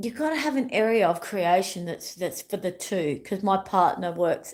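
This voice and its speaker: A woman speaks with an Australian accent. Her tone is animated. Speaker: wellness YouTuber. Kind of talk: casual livestream chat. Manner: rambling, repetitive.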